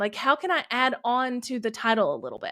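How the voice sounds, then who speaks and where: In a very clean recording with a silent background, a woman with a Southern US accent speaks at a high pitch. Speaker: YouTube creator and business coach. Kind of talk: podcast interview.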